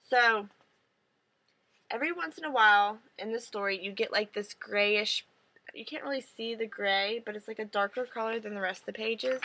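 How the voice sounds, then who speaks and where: A bright, sharp tone at a moderate pace. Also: woman. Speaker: book reviewer. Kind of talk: casual vlog review. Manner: louder than usual, trying to project.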